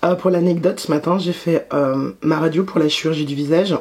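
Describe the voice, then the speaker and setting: Words come at a very fast pace with fairly even intonation. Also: woman. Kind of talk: casual talk to camera. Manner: casual, hesitant.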